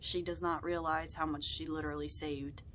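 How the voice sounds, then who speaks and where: The woman's voice picks up audible room echo. She talks at a moderate pace. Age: young. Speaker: vlogger. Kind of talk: personal vlog talk.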